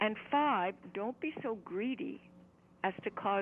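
A woman uses a normal speaking voice, fairly high in pitch. Her intonation is lively and her pace fairly slow. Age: 60s. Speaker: yoga teacher and author. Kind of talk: interview. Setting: phone call.

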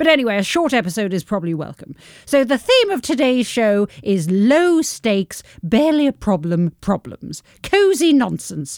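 A woman with a British accent, fairly high-pitched with very wide pitch swings, in a dry, close sound with no echo. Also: moderate pace. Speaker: podcast co-host. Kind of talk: casual chat. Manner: animated.

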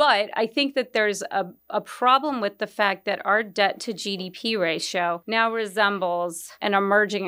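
A woman's normal speaking voice, medium in pitch, at a moderate pace. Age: 50s. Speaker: equity strategist. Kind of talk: interview.

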